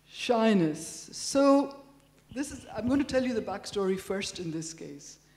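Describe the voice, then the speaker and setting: Delivered at a fairly slow pace, the voice has very wide pitch swings and big shifts in loudness, with audible room echo and noticeable background noise. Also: woman, fairly high pitch for a woman. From India. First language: Telugu. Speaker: professor. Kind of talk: lecture. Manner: conversational.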